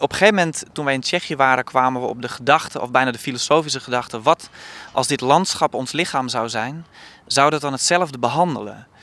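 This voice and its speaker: A man rattles along at a very fast pace, his bright, sharp tone at a medium pitch with ordinary pitch variation. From Friesland, Netherlands. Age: 30s. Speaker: theatre director. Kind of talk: interview. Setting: outdoors on a rooftop.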